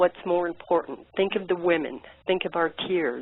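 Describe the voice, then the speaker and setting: A normal speaking voice from a woman, fairly low in pitch, at a fairly slow pace. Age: 60s. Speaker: caller. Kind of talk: impassioned call-in message.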